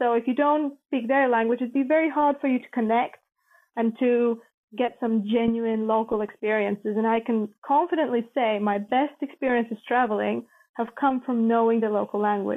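A woman's fairly high voice with a Latvian accent and fairly even intonation. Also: moderate pace. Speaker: former journalist, NATO employee, traveller. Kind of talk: casual interview, travel storytelling.

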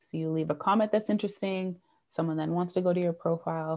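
In a Canadian accent, a woman talks at a very fast pace with a dark, mellow tone, a fairly low pitch and fairly even intonation, on a very clean recording with a silent background. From Canada (Toronto). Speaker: sales coach. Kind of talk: interview.

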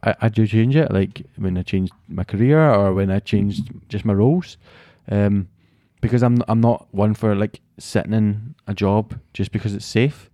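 A man with a Glasgow accent, a fairly low pitch and a dark, mellow tone, at a moderate pace with fairly even intonation, in a dry, close sound with no echo and a very clean recording with a silent background. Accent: Scottish (Glasgow). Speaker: podcast co-host. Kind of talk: casual chat.

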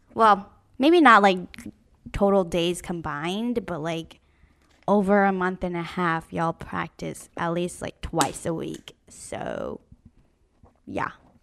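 On a very clean recording with a silent background, a woman speaks very slowly with long, frequent pauses, her fairly low pitch showing ordinary variation. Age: 20s. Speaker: podcast co-host. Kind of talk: casual chat.

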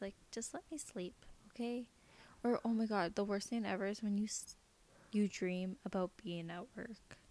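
A woman at medium pitch with an unremarkable speaking voice, fairly even intonation and a moderate pace. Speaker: podcast host. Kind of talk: casual chat, then ghost story telling read aloud from a listener submission.

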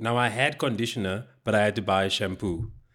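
A man with a South African accent speaks at a moderate pace on a very clean recording with a silent background. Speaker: comedian. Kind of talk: casual chat. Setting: recording at his home.

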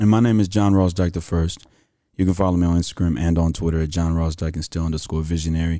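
With a Houston accent, a man speaks in a very deep, low pitch, his tone dark and mellow and his intonation fairly even. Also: very clean recording, silent background. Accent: Southern US, Houston. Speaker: podcast host. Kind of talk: casual interview chat.

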